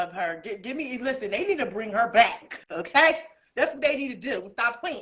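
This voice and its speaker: A woman speaks at a high pitch and a moderate pace in an animated tone. Her pitch swings very widely and her loudness varies a great deal. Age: 30s. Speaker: singer and spiritual life coach. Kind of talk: casual interview chat.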